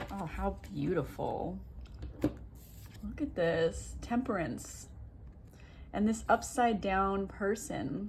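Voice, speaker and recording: A woman mumbles at a very slow pace. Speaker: tarot reader. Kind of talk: tarot reading video. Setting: at home. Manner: mumbling.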